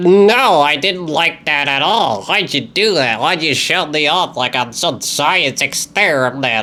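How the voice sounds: A man does a put-on character voice, pitched fairly high, talking at a fairly slow pace with hardly any pauses over light background noise.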